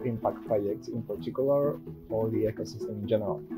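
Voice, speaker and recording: Music plays in the background as a man with a non-native accent speaks at a medium pitch with lively intonation. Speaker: software developer, coding YouTuber. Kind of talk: casual tech talk to camera.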